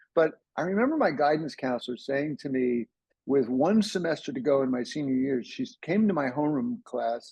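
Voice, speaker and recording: In an American accent, a man with an unremarkable speaking voice talks at a fairly quick pace, his fairly high pitch showing ordinary variation. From US, New Jersey. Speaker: ADHD coach. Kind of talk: interview, personal story. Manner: casual, with frequent repetitions and fillers.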